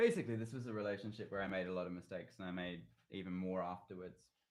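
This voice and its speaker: Speaking very fast, a man with an Australian accent keeps his intonation fairly even. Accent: Australian twang, people call it weird. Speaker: singer-songwriter. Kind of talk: casual livestream chat with viewers. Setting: YouTube livestream at home. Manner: casual, rambling with fillers.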